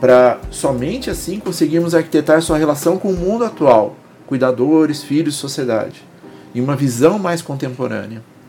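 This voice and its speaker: A man talks at a moderate pace in a fairly high voice with lively intonation. Noticeable background noise runs through the clip. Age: 40s. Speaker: psychoanalyst and podcast host. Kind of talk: solo podcast monologue.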